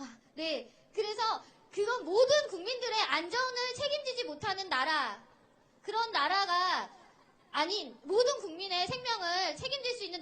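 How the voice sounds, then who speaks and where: Her pitch swings very widely in a bright, sharp tone. The woman uses a raised, projected voice at a moderate pace. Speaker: sign language interpreter. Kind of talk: rally speech. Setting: outdoor rally stage with crowd.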